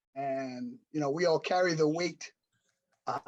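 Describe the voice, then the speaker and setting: Moving at a moderate pace, a man speaks with an American accent at a fairly high pitch. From New York City. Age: 60s. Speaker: adult adoptee panelist and adoption professional. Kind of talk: panel discussion, personal story. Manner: halting, many fillers.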